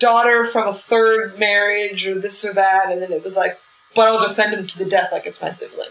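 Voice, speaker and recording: Against noticeable background noise, a woman speaks in a monotone, flat intonation. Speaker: comedian. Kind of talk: casual interview chat.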